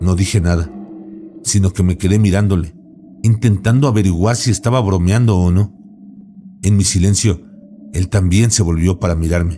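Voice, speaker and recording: A man talks at a very deep, low pitch and a moderate pace, with very even loudness and ordinary pitch variation. Long, frequent pauses break up his speech, and background noise is noticeable. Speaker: horror story narrator. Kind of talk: ghost story telling, first-person scary narration.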